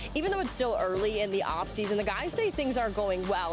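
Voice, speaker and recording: Over music in the background, a woman speaks in an upbeat tone with lively intonation. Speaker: sports anchor. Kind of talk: TV sports news report.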